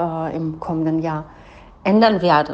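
A woman with a fairly low pitch and monotone, flat intonation. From Germany. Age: 40s. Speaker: business coach. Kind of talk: personal monologue.

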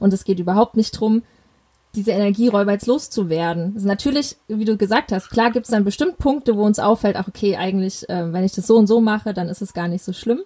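Somewhat breathy and dark, mellow in tone, a woman of medium pitch speaks at a very fast pace with ordinary pitch variation. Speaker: parenting podcast host. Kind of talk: interview.

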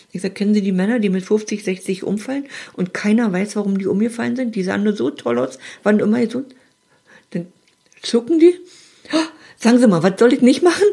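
A woman's somewhat breathy, dark and mellow voice, fairly high in pitch, with very wide pitch swings, a fairly quick pace and long, frequent pauses. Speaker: advice podcast host. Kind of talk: casual chat.

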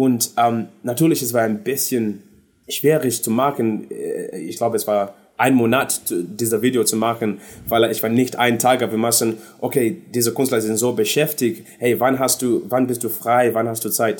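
A man with an English accent speaks at a moderate pace in a medium pitch. His intonation stays fairly even. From London, England (born in Zimbabwe). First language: English (speaking German). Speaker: singer. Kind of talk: casual interview. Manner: halting, searching for German words.

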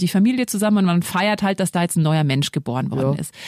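Lively in intonation, a woman's voice sounds dry and close with no echo against noticeable background noise. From Lower Bavaria, Germany. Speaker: podcast host, single mother. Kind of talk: casual chat. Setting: studio.

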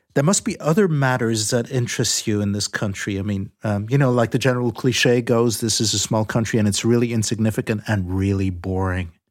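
With hardly any pauses, a man talks in a normal speaking voice with ordinary pitch variation. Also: medium pitch for a man, fairly quick pace. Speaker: moderator host. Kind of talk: moderated discussion.

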